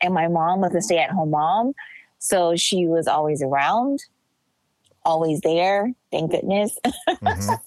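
A woman with an American accent uses an ordinary speaking voice, fairly low in pitch, speaking at a fairly slow pace with lively intonation and very even loudness. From Los Angeles, US. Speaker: writer and photographer. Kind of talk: casual chat.

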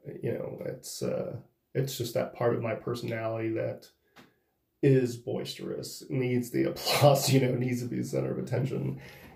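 A man at a moderate pace, with audible room echo. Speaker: professional wrestler. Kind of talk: solo monologue. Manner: halting.

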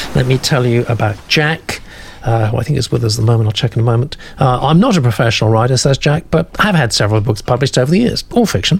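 A man talks at a very fast pace with lively intonation and very even loudness. Noticeable background noise runs underneath. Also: medium pitch for a man. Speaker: literary agent hosting a manuscript critique show. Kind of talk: live online discussion. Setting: video call. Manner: animated.

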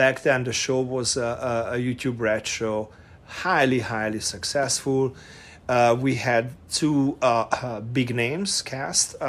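A man speaks very slowly with a Hungarian accent. His medium-pitched voice keeps fairly even intonation. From Hungary, Budapest. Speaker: production designer and former model. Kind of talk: casual interview chat. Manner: halting.

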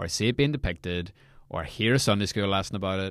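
A man speaks with a Northern Irish accent. His pitch is fairly low, with ordinary variation. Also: very clean recording, silent background. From Northern Ireland. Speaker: devotional podcast host. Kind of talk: casual devotional podcast talk.

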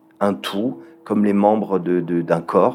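With a fairly low pitch, a man talks at a moderate pace. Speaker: entrepreneur. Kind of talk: interview. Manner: halting.

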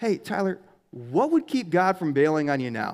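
A man's fairly high voice with lively intonation, a normal speaking voice, on a very clean recording with a silent background. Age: 30s. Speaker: pastor. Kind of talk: sermon. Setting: church.

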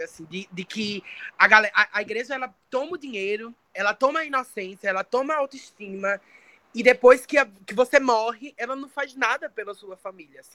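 A woman speaks in a fairly high pitch with a bright, sharp tone. Her intonation is lively, and her loudness swings widely. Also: dry, close sound with no echo. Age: 20s. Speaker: poet and singer. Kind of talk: interview. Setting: remote call, camera off.

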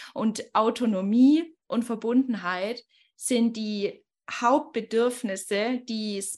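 Here a woman talks at a fairly high pitch. Her pitch variation is ordinary. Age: 20s. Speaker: life coach. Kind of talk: podcast interview.

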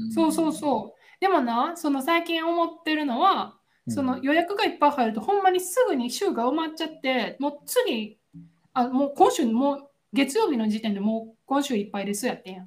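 Speaking with a Kansai accent, a woman talks at a fairly quick pace. Her high-pitched voice swings very widely in pitch. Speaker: podcast co-host. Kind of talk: casual chat. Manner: animated, frequent laughter.

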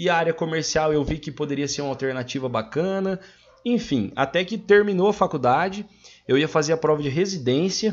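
A man speaks with a fairly high pitch and lively intonation. He has a plain, everyday voice. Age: 20s. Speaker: podcast guest, agribusiness sales worker. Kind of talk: casual chat.

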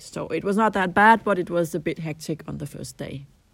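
On a very clean recording with a silent background, a woman with a Danish accent speaks at a moderate pace in a fairly low pitch, using ordinary pitch variation. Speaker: translator at an EU institution. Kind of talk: interview answers. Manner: hesitant, with fillers and repeats.

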